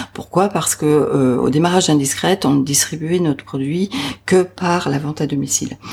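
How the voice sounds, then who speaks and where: A woman with a very deep, low voice speaks over noticeable background noise. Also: ordinary pitch variation, moderate pace. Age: 50s. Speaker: entrepreneur. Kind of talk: interview. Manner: hesitant, with fillers.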